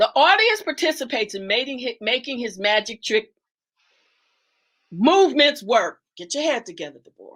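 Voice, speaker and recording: At a moderate pace, a woman with a high pitch speaks in an animated tone, with very wide pitch swings and big swings in loudness. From Detroit, US Midwest. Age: 70s. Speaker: guest speaker on a livestream talk show. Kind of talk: livestream discussion and lecture.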